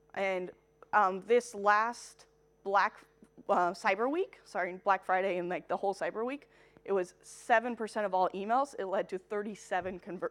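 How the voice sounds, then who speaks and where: A woman with an American accent uses a normal speaking voice at a medium pitch. She keeps a moderate pace with ordinary pitch variation. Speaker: marketing technology consultant. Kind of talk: conference talk.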